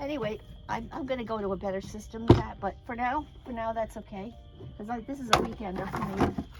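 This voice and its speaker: Over music in the background, a woman speaks at a very fast pace and a fairly high pitch, with ordinary pitch variation and big swings in loudness. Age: 70s. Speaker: solo van traveler. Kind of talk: interview answer. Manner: casual, chatty.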